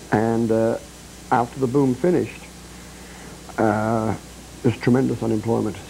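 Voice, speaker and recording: With music in the background, a man speaks at a medium pitch and a moderate pace, taking long, frequent pauses. His loudness is very even and his intonation fairly even. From northern England, Bradford, Yorkshire. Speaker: singer-songwriter and rock climber. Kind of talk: TV interview.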